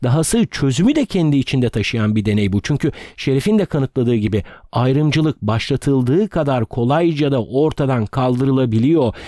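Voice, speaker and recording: A man at a medium pitch speaks fairly quickly with lively intonation and very even loudness, in a dry, close sound with no echo on a very clean recording with a silent background. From Turkey, Ödemiş (İzmir), Aegean region. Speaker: history and culture podcaster. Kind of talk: storytelling narration. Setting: makeshift room recording, away from home studio.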